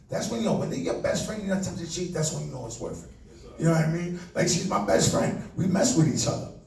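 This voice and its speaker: In a New York accent, the speaker talks at a very fast pace in an animated tone with lively intonation. Audible room echo and noticeable background noise come through. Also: man, high pitch for a man. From New York City, the Bronx. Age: 40s. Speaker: comedian. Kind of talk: stand-up. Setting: stage with audience.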